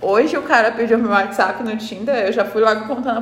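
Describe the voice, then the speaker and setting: A woman talks at a fairly quick pace with a fairly high pitch. Noticeable background noise and audible room echo come through. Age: 20s. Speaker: podcast co-host. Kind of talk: casual chat.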